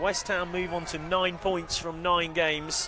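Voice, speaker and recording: A man with a high voice talks over noticeable background noise. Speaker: football commentator.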